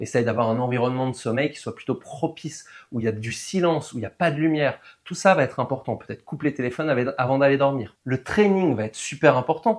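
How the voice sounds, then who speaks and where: Very fast speech from a man with a fairly high pitch and ordinary pitch variation. His loudness swings widely in a very clean recording with a silent background. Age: 40s. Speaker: weight loss coach. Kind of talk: tutorial. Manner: casual.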